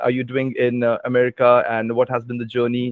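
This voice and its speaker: In an Indian accent, a man speaks at a medium pitch and a fairly quick pace. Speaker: English language trainer. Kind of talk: interview conversation. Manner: hesitant, many fillers.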